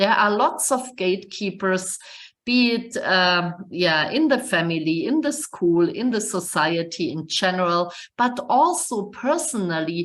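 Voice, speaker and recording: Audible room echo surrounds a woman with a German accent speaking at a medium pitch. She goes fairly slowly, her pitch swinging very widely. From Germany. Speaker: computer science professor. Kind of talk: webinar lecture. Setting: online webinar. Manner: halting, many fillers.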